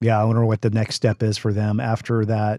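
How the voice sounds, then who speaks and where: Speaking with an American accent, a man uses a medium pitch and a dark, mellow tone at a moderate pace, the sound dry and close with no echo on a very clean recording with a silent background. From Seattle. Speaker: podcast host. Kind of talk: interview, conversational.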